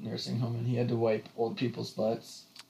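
A man talks in an ordinary speaking voice. His pitch is medium and his pace moderate. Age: 20s. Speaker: podcast co-host and college student. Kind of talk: casual chat. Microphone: echoey audio from poorly set up mic.

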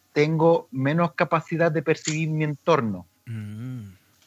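Music plays in the background as a man speaks at a fairly slow pace and a fairly high pitch. His pitch variation is ordinary, and the sound is dry and close with no echo. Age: 40s. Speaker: aikido teacher and therapist. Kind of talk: casual interview.

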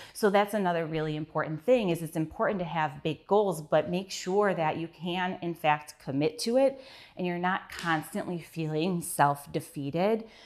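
Here a woman with a fairly low pitch and ordinary pitch variation talks at a moderate pace with hardly any pauses, in an unremarkable speaking voice. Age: 30s. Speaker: podcast host and business owner. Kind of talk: solo podcast monologue. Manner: casual, conversational.

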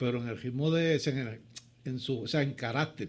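His pace is fairly quick, and his pitch varies in an ordinary way. This man's voice sounds somewhat breathy. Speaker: former basketball player. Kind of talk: studio interview. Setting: studio.

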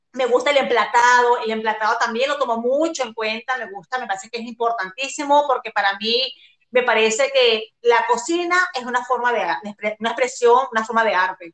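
A woman talks at a fairly quick pace in a high pitch with ordinary pitch variation. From Venezuela, La Guaira. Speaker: cook and food entrepreneur. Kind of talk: casual chat.

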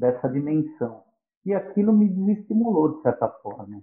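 A man speaks at a moderate pace with very wide swings in pitch. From São Paulo, Brazil. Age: 50s. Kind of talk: podcast interview.

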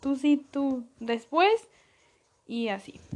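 A woman speaks with a Mexican accent. Her tone is animated and her intonation lively. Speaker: podcaster. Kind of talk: casual monologue. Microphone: sometimes far from the mic.

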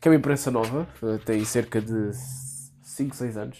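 A man's dark, mellow tone moves at a moderate pace, his pitch varying normally. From Portugal, Algarve. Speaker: law faculty member, podcast guest. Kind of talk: casual political discussion. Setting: improvised studio.

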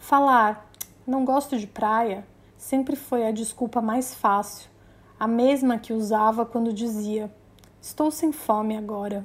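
Her voice sits at a fairly high pitch, and this woman keeps her intonation fairly even. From Brazil, Maranhão (São Luís). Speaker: journalist and podcast host. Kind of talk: personal narration.

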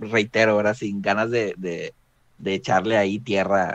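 At a fairly slow pace, a man talks with a Mexican accent. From Mexico. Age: 20s. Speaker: tabletop role-playing gamer. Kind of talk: casual panel chat.

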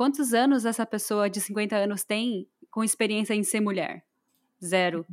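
At a moderate pace and fairly high pitch, a woman uses an ordinary speaking voice on a very clean recording with a silent background. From Brazil. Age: 20s. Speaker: podcast co-host. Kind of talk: casual chat.

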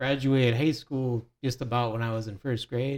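With an American accent, a man speaks at medium pitch and a moderate pace. His intonation stays fairly even. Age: 30s. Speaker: podcast guest. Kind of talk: casual chat. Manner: halting.

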